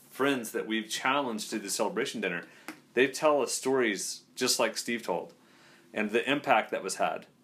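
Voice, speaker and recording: This man has a plain, everyday voice with medium pitch, speaking at a moderate pace. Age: 40s. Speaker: leadership coach. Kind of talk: casual chat.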